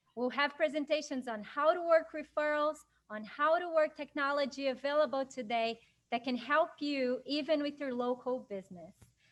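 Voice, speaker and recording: Moderate pace and ordinary pitch variation from a woman with a high-pitched voice. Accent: Portuguese. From Brazil. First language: Portuguese. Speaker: business council chair and event moderator. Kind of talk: webinar introduction.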